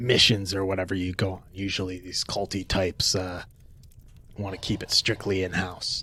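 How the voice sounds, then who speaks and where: A man puts on a character voice with a very deep, low pitch. He keeps a moderate pace over clear background noise. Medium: actual play. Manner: casual, laid-back.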